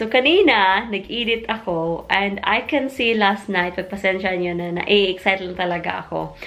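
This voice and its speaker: A woman with a Filipino accent over noticeable background noise. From Philippines. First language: Tagalog. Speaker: vlogger. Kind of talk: casual vlog talk.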